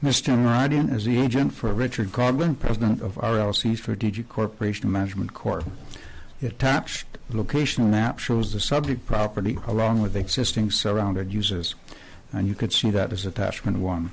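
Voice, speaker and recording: A man speaks at a fairly quick pace in a medium pitch. His voice is somewhat breathy, with ordinary pitch variation. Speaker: town planning director. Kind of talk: reading a staff report at a public hearing. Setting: council chambers. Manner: formal.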